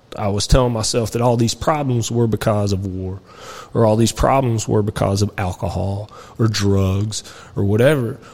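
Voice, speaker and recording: A man's fairly low voice with fairly even intonation, in a Kentucky accent. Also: moderate pace. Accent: Kentucky Southern US. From central Kentucky. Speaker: military veteran. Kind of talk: casual interview.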